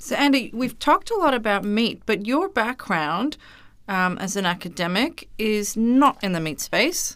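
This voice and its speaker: In a very clean recording with a silent background, a woman with a fairly high pitch speaks at a moderate pace with very wide pitch swings. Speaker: podcast producer. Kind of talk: interview conversation.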